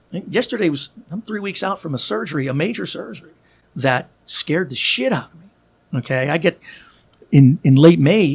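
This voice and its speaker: Here is a man with an American accent and an unremarkable speaking voice, pitched fairly high. He talks at a moderate pace with lively intonation. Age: 60s. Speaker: podcaster and author. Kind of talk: casual chat. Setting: studio.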